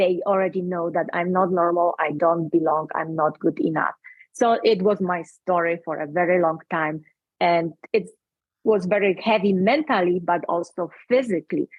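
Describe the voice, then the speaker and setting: This speaker has a Polish accent and ordinary pitch variation. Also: woman, fairly low pitch for a woman, moderate pace. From Poland. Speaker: speaker and coach. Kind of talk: interview. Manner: halting.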